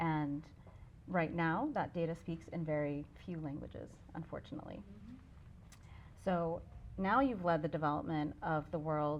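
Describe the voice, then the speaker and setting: A woman with an American accent, fairly low in pitch, at a moderate pace. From US, New Hampshire. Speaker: nonprofit CEO and event host. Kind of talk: moderated interview.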